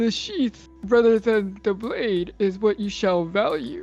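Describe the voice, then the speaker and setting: A put-on character voice that sounds female, at a fairly slow pace over clear music in the background. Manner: solemn, wise.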